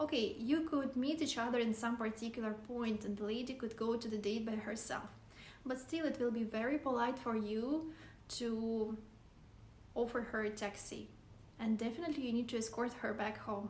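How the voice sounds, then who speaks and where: With a Russian accent, a woman speaks at a moderate pace in a fairly high pitch, her intonation fairly even and a room echo audible. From Siberia, Russia. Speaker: vlogger. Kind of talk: casual vlog talk to camera.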